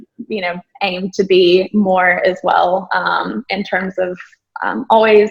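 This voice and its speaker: Speaking with an American accent, a woman has vocal fry and monotone, flat intonation. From rural Texas, US. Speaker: businesswoman and entrepreneur. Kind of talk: interview. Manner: casual, many filler words.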